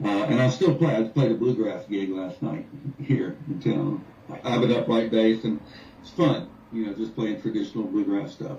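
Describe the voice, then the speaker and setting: Using an ordinary speaking voice, a man with an American accent talks at a moderate pace. His pitch is medium and his intonation lively. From North Carolina, US. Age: 60s. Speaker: musician. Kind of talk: radio interview.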